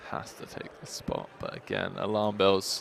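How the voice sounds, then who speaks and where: Noticeable background noise runs under a man's fairly low pitch. He keeps a fairly slow pace and fairly even intonation. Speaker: poker commentator. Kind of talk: live commentary. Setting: commentary booth.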